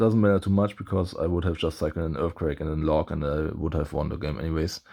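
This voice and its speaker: Recorded very cleanly against a silent background, a man with a non-native accent speaks in a very deep, low voice with a dark, mellow tone and ordinary pitch variation. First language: not English. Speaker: gaming YouTuber. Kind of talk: gameplay commentary. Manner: halting, many fillers.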